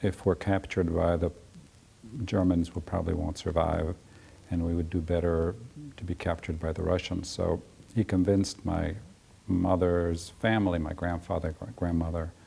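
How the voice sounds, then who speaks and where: A man with a very deep, low pitch, monotone and flat, at a moderate pace with long, frequent pauses. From Poland, then Europe and Ecuador as a child. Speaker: regional artist. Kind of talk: life story interview. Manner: halting, with many fillers.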